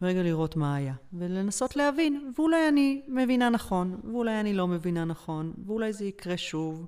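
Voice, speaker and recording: A woman's medium-pitched voice at a moderate pace, dark and mellow in tone, with very wide pitch swings and hardly any pauses. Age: 40s. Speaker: holistic emotional therapist. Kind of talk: interview about personal health experience. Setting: studio.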